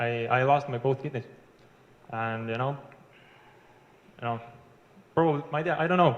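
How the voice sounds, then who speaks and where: A man with an Estonian accent and fairly even intonation. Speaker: internet marketer. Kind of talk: interview. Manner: halting.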